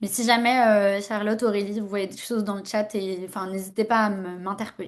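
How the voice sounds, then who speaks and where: Against a quiet background, a woman talks fairly quickly at a medium pitch with monotone, flat intonation. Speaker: workshop facilitator. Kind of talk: online workshop presentation. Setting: video call. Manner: hesitant, many fillers.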